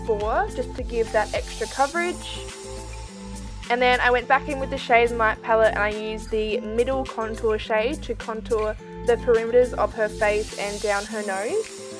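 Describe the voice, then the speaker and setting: Over music in the background, a woman with an Australian accent speaks at a moderate pace. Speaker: makeup artist. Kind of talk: makeup tutorial voiceover.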